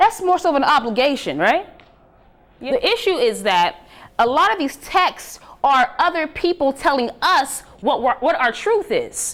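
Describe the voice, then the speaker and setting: A woman's high-pitched, animated voice at a moderate pace, with very wide pitch swings and very even loudness. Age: 30s. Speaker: preacher and spiritual speaker. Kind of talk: talk to a live audience.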